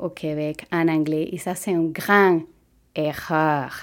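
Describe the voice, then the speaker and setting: Very slow speech in a Spanish accent comes through on a very clean recording with a silent background. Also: woman. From Venezuela. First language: Spanish (speaking French). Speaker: physiotherapist. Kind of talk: personal testimony.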